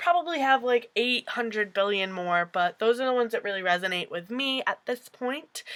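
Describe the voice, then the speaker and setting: A woman's fairly high, animated voice with an American accent, at a moderate pace with hardly any pauses. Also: lively intonation. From upstate New York. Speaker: booktuber. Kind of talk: casual vlog talk to camera.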